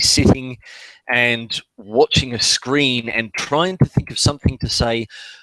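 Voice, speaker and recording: Someone speaks at a very slow pace, and the sound is dry and close with no echo. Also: man. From England. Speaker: podcast host. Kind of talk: casual chat. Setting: live video call. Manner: hesitant, many fillers.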